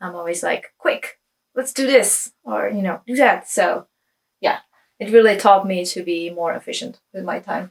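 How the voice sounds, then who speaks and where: The speaker talks at a moderate pace with a Czech accent. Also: woman. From Czech Republic. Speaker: knitwear designer. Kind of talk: casual vlog chat. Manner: hesitant, many fillers.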